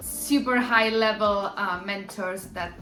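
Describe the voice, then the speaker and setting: With an Argentine accent, a woman speaks in fairly even intonation over music in the background, with audible room echo. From Argentina. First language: Spanish. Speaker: musical theatre performer and vlogger. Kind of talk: casual vlog talk. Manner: halting, many fillers.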